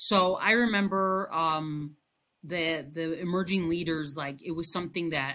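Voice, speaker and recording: A woman with a Spanish accent, fairly low in pitch and bright, sharp in tone, at a moderate pace on a very clean recording with a silent background. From Chicago area, US. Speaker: bilingual elementary school teacher. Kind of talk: interview. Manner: hesitant, many fillers and repetitions.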